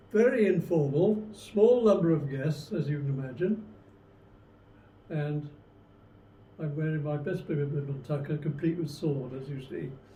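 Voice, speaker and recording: A somewhat breathy man's voice of fairly high pitch, fairly slow with long, frequent pauses, in audible room echo. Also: ordinary pitch variation. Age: 90s. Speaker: retired army veteran. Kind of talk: interview testimony. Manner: halting.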